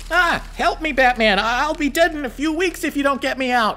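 A high-pitched, cartoonish character voice at a moderate pace over light background noise. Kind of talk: comic overacting. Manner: chirpy, earnest, oblivious.

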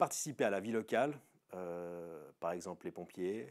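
Fairly slow pace with ordinary pitch variation. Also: man, quiet background. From Switzerland, Veveyse district, canton of Fribourg; Fribourg, Switzerland. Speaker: local resident; interviewee. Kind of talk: casual personal testimony. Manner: hesitant, many filler sounds. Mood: relaxed, telling anecdote. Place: open country. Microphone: lapel.

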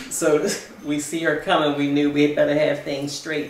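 A woman with an American accent at a moderate pace, her pitch very deep and low, her intonation monotone and flat, over light background noise with audible room echo. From Baltimore, US Mid-Atlantic. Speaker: retiree sharing life story. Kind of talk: oral history interview. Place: home room. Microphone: camera far.

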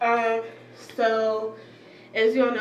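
In an American accent, a woman speaks at a moderate pace over light background noise, with audible room echo. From US South. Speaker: beauty and fashion vlogger; fashion vlogger. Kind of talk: casual haul video. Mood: cheerful, relaxed. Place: home room. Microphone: phone camera mic; phone near.

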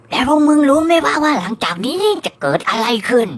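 The voice is a put-on character voice, high in pitch. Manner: coarse slangy storytelling.

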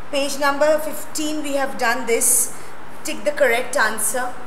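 A woman's high-pitched voice over noticeable background noise. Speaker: school teacher. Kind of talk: lecture. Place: classroom. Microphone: lapel.

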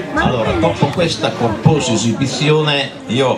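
Noticeable background noise surrounds a man speaking at a very slow pace. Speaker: amateur dialect poetry reciter. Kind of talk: casual stage introduction to live audience. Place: beach.

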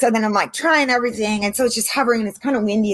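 A woman with an American accent talks over a quiet background. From San Diego, California; California. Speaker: marine biologist and drone instructor; drone instructor. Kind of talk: casual interview chat. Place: garden. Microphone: video call.

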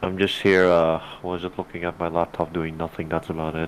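A man's very deep, low voice, monotone and flat, at a very fast pace. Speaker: gaming podcast co-host. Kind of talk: casual chat. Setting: online voice call.

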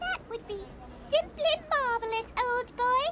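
The speaker uses a put-on character voice at an extremely high pitch. The pace is fairly slow. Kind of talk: upper-class, formal.

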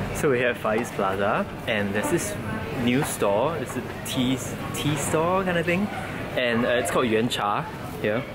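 Over music in the background, a man speaks with long, frequent pauses. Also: moderate pace. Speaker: vlogger. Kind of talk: casual vlog chat. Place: shop. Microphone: phone near.

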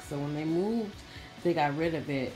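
Faint music sits behind a woman whose voice has a very deep, low pitch. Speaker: beauty vlogger. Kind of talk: casual vlog chat. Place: home room. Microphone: phone near.

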